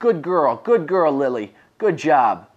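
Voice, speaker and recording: The speaker puts on a character voice at a middle pitch and a fairly slow pace. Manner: upbeat, excited praise.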